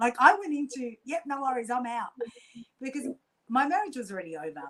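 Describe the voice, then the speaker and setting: Using an Australian accent, a woman talks at a fairly quick pace and high pitch, with very wide pitch swings and big swings in loudness. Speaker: quantum healer and coach. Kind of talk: casual interview storytelling. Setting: podcast interview. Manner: fast; animated.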